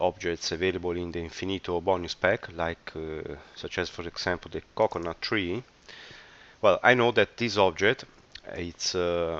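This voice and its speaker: Speaking with fairly even intonation, a man uses a very deep, low pitch at a moderate pace. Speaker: software developer. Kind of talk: tutorial. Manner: hesitant, many filler words.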